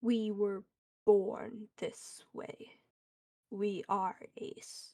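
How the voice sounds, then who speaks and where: A woman in a put-on character voice, growling at a medium pitch and a very slow pace. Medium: virtual streamer. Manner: terse, speaks as "we".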